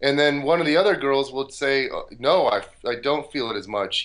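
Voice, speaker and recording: With a plain, everyday voice, a man speaks at a moderate pace and a fairly high pitch. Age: 30s. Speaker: glute training expert and researcher. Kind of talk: interview.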